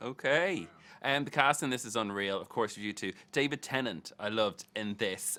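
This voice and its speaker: The tone is bright and sharp, the intonation lively and the pace moderate, in a very clean recording with a silent background. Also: man, medium pitch for a man. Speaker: entertainment interviewer. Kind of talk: interview questions.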